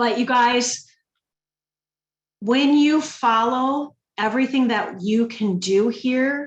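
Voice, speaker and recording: A woman with a Minnesotan accent speaks in an animated tone, somewhat breathy, with ordinary pitch variation. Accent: Minnesota. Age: 50s. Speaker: direct sales ambassador. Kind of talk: sales pitch.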